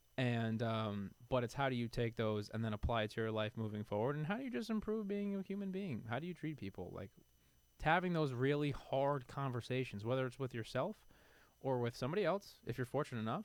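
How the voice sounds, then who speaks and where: A man speaks at a medium pitch with very wide swings up and down. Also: fairly quick pace. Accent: New York. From New York City (Queens). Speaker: supplement industry figure. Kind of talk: podcast interview. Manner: animated.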